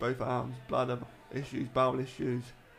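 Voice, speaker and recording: Speaking fairly slowly at a medium pitch, a man is heard with audible room echo. Music plays in the background. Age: 30s. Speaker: former footballer with MS. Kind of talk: casual interview.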